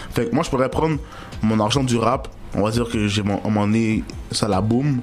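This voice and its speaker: A man with a medium-pitched voice speaks at a moderate pace, his loudness very even and his pitch varying in an ordinary way. Music plays in the background, and room echo is audible. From Montreal, Quebec. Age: 20s. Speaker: rapper. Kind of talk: interview. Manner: casual, slangy.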